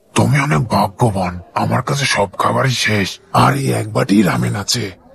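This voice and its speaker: A man uses a put-on character voice with a raspy edge. He speaks at a moderate pace. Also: fairly low pitch for a man. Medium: fan dub. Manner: warm, friendly.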